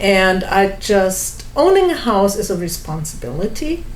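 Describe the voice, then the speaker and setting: With a German accent, a woman speaks at a medium pitch amid audible room echo. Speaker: home seller. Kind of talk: testimony.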